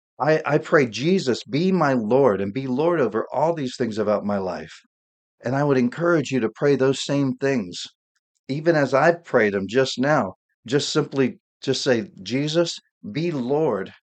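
A man's unremarkable speaking voice at medium pitch, lively in intonation, over a quiet background. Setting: home studio, solo podcast. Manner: warm, earnest, fervent prayer tone.

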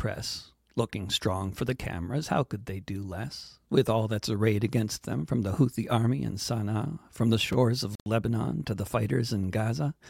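A man's somewhat breathy voice at medium pitch, with lively intonation, moderate pace and hardly any pauses, in a dry, close sound with no echo on a very clean recording with a silent background. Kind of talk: performed satirical poem, rhymed verse read aloud. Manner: rhetorical questions delivered with building irony, ending in a pointed sting.

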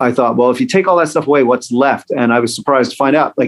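Ordinary pitch variation marks the talk of a man with an unremarkable speaking voice. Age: 40s. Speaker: musician and comedian. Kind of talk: casual interview.

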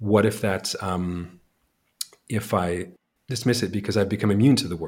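With a Canadian accent, a man talks at a moderate pace and a fairly low pitch, somewhat breathy, his intonation fairly even. Long pauses come often. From Canada. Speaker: author. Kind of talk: interview. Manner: halting.

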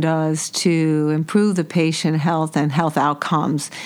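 Fairly slow and fairly low in pitch, a woman with an American accent speaks in a plain, everyday voice. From New York City. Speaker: podcast host. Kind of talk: interview.

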